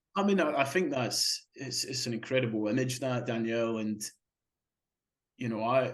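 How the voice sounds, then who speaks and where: With a Scottish accent, a man talks at a moderate pace in a medium pitch with ordinary pitch variation. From Scotland. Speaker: marathon swimmer. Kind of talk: interview. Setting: podcast interview. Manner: halting, many repetitions.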